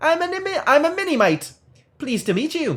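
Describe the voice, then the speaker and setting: Put-on character voice, high in pitch, at a moderate pace. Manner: playful, polite.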